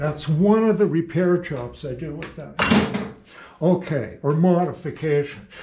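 Against loud background noise, a man talks at a fairly slow pace with ordinary pitch variation. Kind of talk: tutorial. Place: workshop. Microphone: camera far.

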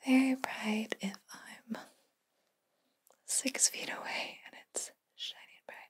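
A woman whispering at a very slow pace, with big swings in loudness. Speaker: video host. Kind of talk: soft-spoken role-play, like an eye exam. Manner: soft, hushed ASMR speaking voice. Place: home room.

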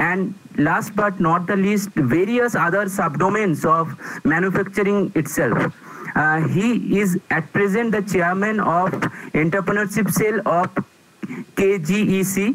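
The speech moves at a fairly slow pace with ordinary pitch variation and very even loudness. Long pauses come often. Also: man, high pitch for a man. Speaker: speaker. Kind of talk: formal speaker introduction. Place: home room. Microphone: earbuds.

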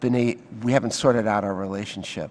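Fairly even intonation from a man. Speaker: witness. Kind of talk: interview answer. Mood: earnest, measured. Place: hall. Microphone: podium.

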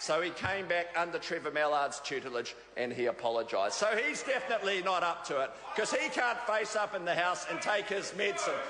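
Over noticeable background noise, a man with a New Zealand accent projects his raised voice at a fairly quick pace. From New Zealand, Auckland North Shore. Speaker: politician, government minister. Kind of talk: parliamentary debate speech. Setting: parliament chamber. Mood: mocking, jovial. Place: hall. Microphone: podium.

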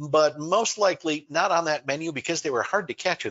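The background stays quiet as a man talks. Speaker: online presentation host. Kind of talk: lecture. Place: home room.

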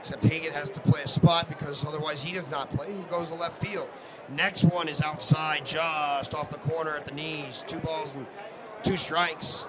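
Noticeable background noise runs through the clip. The loudness swings a lot. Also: man. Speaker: sports broadcaster. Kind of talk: live baseball play-by-play commentary. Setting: live stream from ballpark broadcast. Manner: fast, rhythmic, energetic play-by-play delivery.

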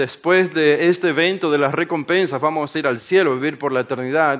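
A man talks at a fairly quick pace in a fairly high pitch. His pitch varies in an ordinary way. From Ecuador, Guayaquil. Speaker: preacher. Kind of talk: sermon-style workshop talk. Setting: conference workshop with live audience.

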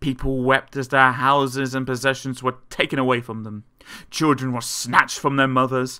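The clip features an unforced reading voice.

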